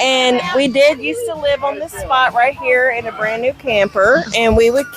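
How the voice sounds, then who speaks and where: Over music in the background, a woman speaks at a fairly slow pace in a high pitch. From Louisiana. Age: 40s. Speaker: bar patron. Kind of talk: casual chat.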